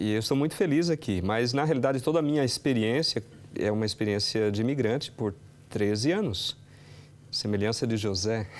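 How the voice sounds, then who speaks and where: Speaking at a fairly quick pace, a man has a normal speaking voice of medium pitch, ordinary pitch variation and very even loudness. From Brazil. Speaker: pastor. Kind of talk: TV interview.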